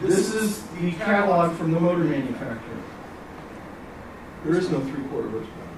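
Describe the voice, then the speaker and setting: Over noticeable background noise and audible room echo, the speaker goes at a fairly quick pace with long, frequent pauses and ordinary pitch variation. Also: man, high pitch for a man. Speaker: technical trainer. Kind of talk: lecture. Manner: fast.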